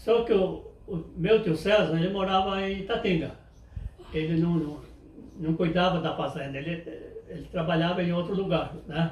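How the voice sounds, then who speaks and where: A man speaks at a high pitch and a moderate pace, with fairly even intonation and long, frequent pauses. Noticeable background noise and audible room echo fill the recording. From Brazil, interior of São Paulo state (Pardinho). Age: 80s+. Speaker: elderly interviewee recalling farm life. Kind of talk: oral history interview. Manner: halting, with frequent repetitions.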